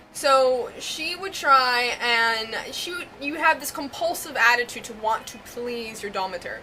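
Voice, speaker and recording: With music in the background, a woman with an American accent speaks at a fairly slow pace and a high pitch, with lively intonation and big swings in loudness. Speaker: vlogger and larper. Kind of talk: casual vlog monologue. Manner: hesitant, many fillers (um, like).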